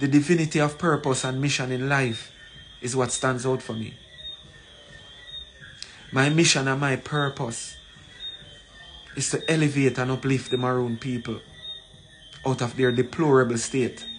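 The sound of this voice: Over faint background music, a man at medium pitch talks at a fairly slow pace with fairly even intonation and long, frequent pauses.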